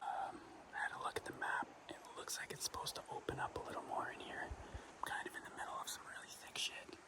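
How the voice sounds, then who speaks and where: Whispered words come at a moderate speed with noticeable background noise behind them. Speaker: hunting vlogger. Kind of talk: outdoor vlog narration. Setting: outdoors in the woods. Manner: whispering; hesitant, many fillers.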